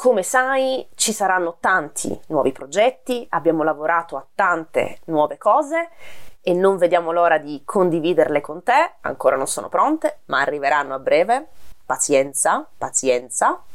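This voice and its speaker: Pitch swings very widely as a woman talks. Her pace is moderate. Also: fairly low pitch for a woman. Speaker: language teacher, video creator. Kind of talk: direct-to-camera video monologue.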